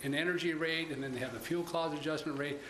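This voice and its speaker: There is audible room echo and light background noise. A man speaks with fairly even intonation. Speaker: presenter. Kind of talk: meeting report. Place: meeting room. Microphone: podium.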